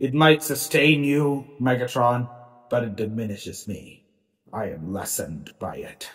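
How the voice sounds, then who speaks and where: A man speaks in a put-on character voice at medium pitch. His pace is moderate. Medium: audio drama.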